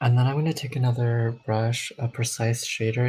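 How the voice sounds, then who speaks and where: A soft-spoken man at a medium pitch, with monotone, flat intonation and a fairly slow pace. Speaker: makeup vlogger. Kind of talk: tutorial.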